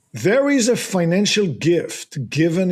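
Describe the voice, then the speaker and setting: On a very clean recording with a silent background, a man with a slight non-native accent speaks very slowly with lively intonation. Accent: slight foreign. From abroad, not the US. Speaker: real estate investor. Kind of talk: podcast interview. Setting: studio.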